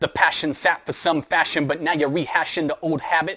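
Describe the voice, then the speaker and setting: Talking fairly quickly, a man pitched fairly high has an unremarkable speaking voice. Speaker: math teacher; spoken word poet. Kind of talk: spoken word poetry performance. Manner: rhythmic, rhyming.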